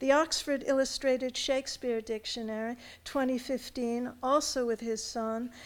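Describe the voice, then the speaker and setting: In a high pitch and a flat, monotone delivery, a woman with an American accent talks at a moderate pace on a very clean recording with a silent background. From United States. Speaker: university academic introducing speaker. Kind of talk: formal speaker introduction. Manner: formal.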